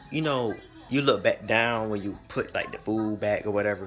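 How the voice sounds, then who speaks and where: Music plays clearly behind the speech. The speaker is a man. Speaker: vlogger. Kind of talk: casual vlog storytime. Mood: amused, exasperated. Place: home room. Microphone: phone near.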